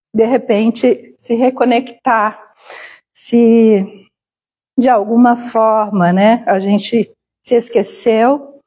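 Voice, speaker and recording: A woman speaks at a very slow pace, her tone dark and mellow, her pitch fairly high, her intonation fairly even and her loudness very even. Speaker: spiritist lecturer. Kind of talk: lecture. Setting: spiritist center hall with live audience and stream.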